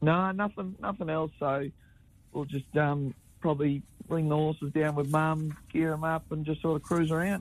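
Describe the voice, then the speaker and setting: A man in an Australian accent talks at a moderate pace with fairly high pitch and fairly even intonation. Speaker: harness racing driver. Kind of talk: radio interview. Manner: halting, many repetitions.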